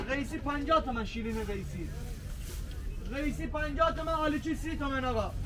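A man talks at a fairly quick pace. Loud noise fills the background. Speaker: market fruit vendor. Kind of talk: street vendor calling out prices. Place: market.

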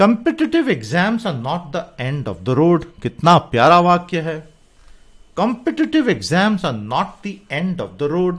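Over a quiet background, the speech moves at a very slow pace. It has very wide pitch swings and big swings in loudness. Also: man, high pitch for a man. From India. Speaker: English teacher. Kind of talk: lecture.

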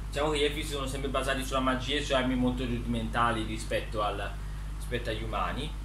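A man talks at a very fast pace against noticeable background noise. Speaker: author presenting his book characters. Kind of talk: casual talk to camera, storytelling about his book characters. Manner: hesitant, rambling, frequent self-corrections. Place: home room. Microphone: phone near.

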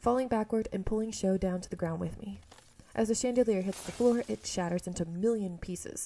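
This is a natural reading voice, showing ordinary pitch variation.

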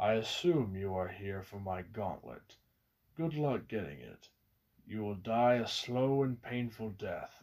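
In a put-on character voice, a man talks at a fairly slow pace and medium pitch, captured on a very clean recording with a silent background. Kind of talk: villain taunt. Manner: smug, menacing.

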